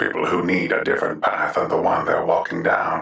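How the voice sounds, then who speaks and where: A man in a put-on character voice sounds raspy and keeps a calm tone. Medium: audio drama. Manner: calm, measured.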